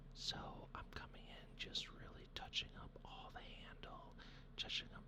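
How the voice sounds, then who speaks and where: A whisper moves at a fairly slow pace with noticeable background noise behind it. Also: man. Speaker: hobby miniature painter and 3D printing channel host. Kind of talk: hobby painting tutorial narration to camera.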